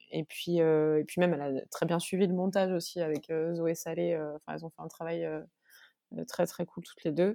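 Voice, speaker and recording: A woman talks in a fairly low pitch with a dark, mellow tone and monotone, flat intonation. Her loudness swings widely, and the sound is dry and close with no echo. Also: moderate pace. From Corsica. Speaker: musician. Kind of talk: interview. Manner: halting.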